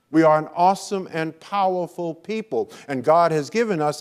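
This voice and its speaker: At a fairly slow pace, a man with an American accent talks in a high pitch with ordinary pitch variation. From US Northeast, Brooklyn, New York. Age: 70s. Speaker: motivational speaker. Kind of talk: keynote speech. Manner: animated.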